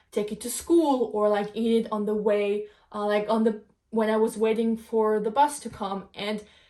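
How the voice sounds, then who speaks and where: This woman talks at a moderate pace with a fairly high pitch. She has a non-native accent. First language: not English. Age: 20s. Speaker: podcast host. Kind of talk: casual monologue podcast. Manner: halting, many fillers.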